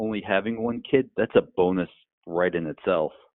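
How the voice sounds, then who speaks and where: An unremarkable speaking voice from a man, fairly low in pitch, with ordinary pitch variation. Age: 40s. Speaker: speechwriter and podcaster. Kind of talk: casual chat.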